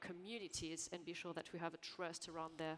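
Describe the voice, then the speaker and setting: A woman speaks with a French accent. Her pace is fairly quick. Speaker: panel moderator. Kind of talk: panel discussion. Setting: conference stage with audience.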